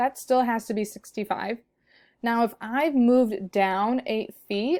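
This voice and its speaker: An ordinary speaking voice comes from a woman with a fairly high pitch. She speaks at a fairly slow pace with ordinary pitch variation. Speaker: math teacher. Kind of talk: tutorial. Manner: casual.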